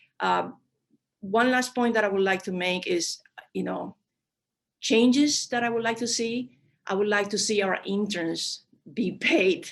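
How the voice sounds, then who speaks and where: Speaking at a fairly slow pace with a non-native accent, a woman uses ordinary pitch variation and leaves long, frequent pauses. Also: medium pitch for a woman. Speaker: diplomat. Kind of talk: panel discussion. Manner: halting with many fillers.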